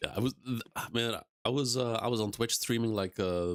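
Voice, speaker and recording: A man with an ordinary speaking voice, at a moderate pace with ordinary pitch variation, in a dry, close sound with no echo. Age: 30s. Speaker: YouTube streamer, anime discussion host. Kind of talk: casual live-stream chat.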